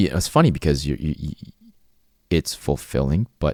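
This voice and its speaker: Dry and close with no echo, this man's voice is very deep and low, with a dark, mellow tone. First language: Cantonese. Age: 40s. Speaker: channel host sharing life story. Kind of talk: personal monologue. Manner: halting, many repeated words.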